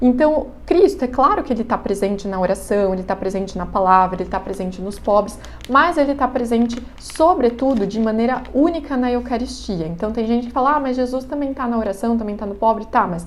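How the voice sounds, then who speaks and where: Noticeable background noise and audible room echo, with ordinary pitch variation and a fairly quick pace. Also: woman. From Brazil, countryside (interior). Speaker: catechism teacher. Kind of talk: lecture. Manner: casual, conversational.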